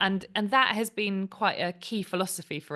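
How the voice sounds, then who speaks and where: The tone here is bright and sharp. A woman delivers her words at a moderate pace. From Cornwall, England. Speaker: company founder and CEO. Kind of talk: podcast interview. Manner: conversational, with frequent fillers.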